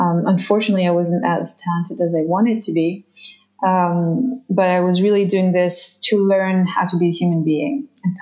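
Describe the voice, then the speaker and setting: A woman in a French accent, fairly low in pitch, at a moderate pace with ordinary pitch variation. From France. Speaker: somatic therapist and former dancer. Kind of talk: casual interview. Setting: video call. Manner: halting.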